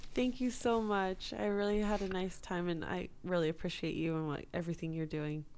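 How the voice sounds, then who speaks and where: A woman with an American accent speaks at a fairly quick pace in a plain, everyday voice, her pitch fairly low and its variation ordinary. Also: hardly any pauses. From US West Coast, Los Angeles area. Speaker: songwriter and producer. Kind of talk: casual interview chat.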